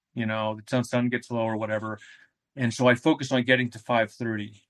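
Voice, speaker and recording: In an unremarkable speaking voice, a man talks at a fairly quick pace with a medium pitch and fairly even intonation. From New England, US (New Hampshire). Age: 50s. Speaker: ultramarathon runner. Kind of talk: interview conversation. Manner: casual, rambling with fillers.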